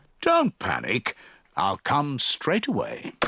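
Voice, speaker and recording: In a cartoonish character voice, the speaker keeps a calm tone at a very slow pace. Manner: calm, reassuring.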